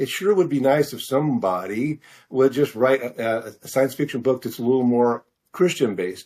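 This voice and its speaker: A man with an American accent at a medium pitch, a moderate pace and ordinary pitch variation, in a very clean recording with a silent background. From Missouri, US Midwest. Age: 60s. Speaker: fiction author. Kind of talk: interview. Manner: halting, many fillers.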